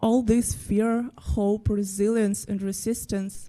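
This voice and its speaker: In a Ukrainian accent, a woman talks at a very slow pace, her dark, mellow tone sitting at medium pitch. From Ukraine. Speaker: graphic designer. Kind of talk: presentation talk.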